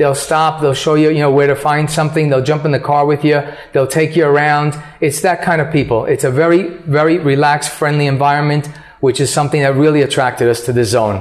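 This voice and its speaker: Very fast and very even in loudness, a man with an American accent talks at a fairly high pitch through noticeable background noise. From New York, US. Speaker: real estate agent. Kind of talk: interview.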